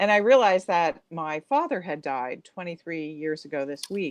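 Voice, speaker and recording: With an American accent, a woman in an ordinary speaking voice talks at a fairly slow pace, her pitch fairly low and her intonation lively, in a dry, close sound with no echo. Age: 60s. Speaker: author. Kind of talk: interview.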